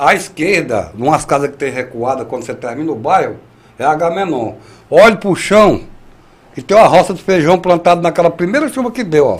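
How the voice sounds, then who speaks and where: Speaking at a moderate pace, a high-pitched man keeps his intonation lively. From Ceará, Brazil (rural). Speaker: rain prophet and rural union leader. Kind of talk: interview.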